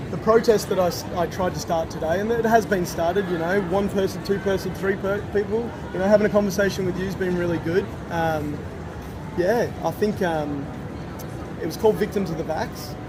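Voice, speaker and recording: A man with an Australian accent speaks at a fairly quick pace in a high pitch with ordinary pitch variation. Noticeable background noise and audible room echo surround him. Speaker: street protester. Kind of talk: casual interview. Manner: loud.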